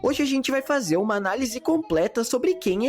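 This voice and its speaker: With music in the background, someone speaks at a moderate pace in a Brazilian accent. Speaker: animation review youtuber. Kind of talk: video essay narration. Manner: casual, slangy.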